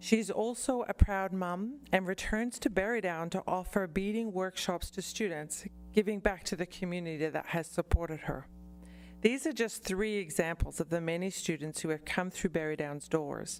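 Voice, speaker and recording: On a very clean recording with a silent background, a woman with an Australian accent speaks at a moderate pace and medium pitch with ordinary pitch variation. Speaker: college representative. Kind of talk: formal presentation.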